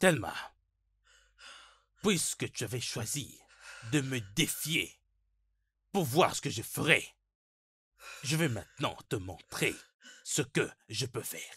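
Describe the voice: A man's put-on character voice at medium pitch, bright and sharp with a husky, rough edge, big pitch swings, a slow pace and long, frequent pauses, on a very clean recording with a silent background.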